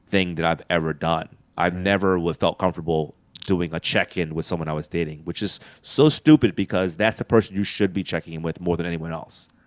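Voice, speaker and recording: A man with an American accent talks at a fairly quick pace. His very deep, low pitch holds fairly even intonation. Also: dry, close sound with no echo. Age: 40s. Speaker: comedian. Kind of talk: casual chat.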